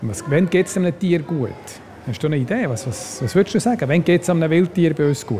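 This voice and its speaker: A man with a high voice and lively intonation talks at a fairly quick pace. Background noise is noticeable. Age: 60s. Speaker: zoo biologist. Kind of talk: guided zoo tour.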